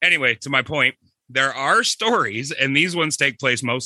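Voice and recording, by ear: Someone reads aloud in a natural voice, and the pitch moves in an ordinary way. All around is quiet.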